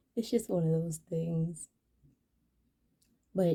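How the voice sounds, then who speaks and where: Dark, mellow tone from a woman, somewhat breathy. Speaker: mental health vlogger. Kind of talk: casual vlog monologue.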